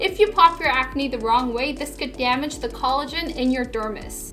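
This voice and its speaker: Music plays behind a woman who speaks in a raised, projected voice at a moderate pace, her tone animated. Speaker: beauty show host. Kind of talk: casual Q&A chat. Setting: studio. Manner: loud.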